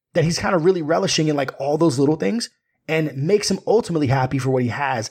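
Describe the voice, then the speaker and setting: Talking at a very fast pace, a man sounds animated and somewhat breathy. His pitch is fairly high and his intonation lively. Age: 30s. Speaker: podcaster and film commentator. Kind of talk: casual chat.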